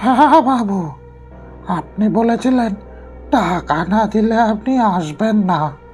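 A put-on character voice, shrill and fairly high in pitch, moves at a fairly slow pace. Clear music plays in the background. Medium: read story. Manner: terse.

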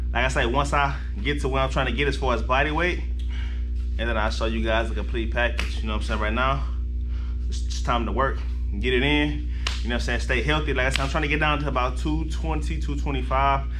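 Music plays in the background as a man speaks at a fairly quick pace in a very deep, low pitch with monotone, flat intonation. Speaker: fitness vlogger. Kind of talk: casual vlog chat. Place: gym. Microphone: phone near.

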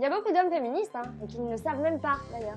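Clear music plays behind a woman speaking at a high pitch. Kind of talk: opinion commentary vlog. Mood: ironic, sarcastic. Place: home room. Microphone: lapel.

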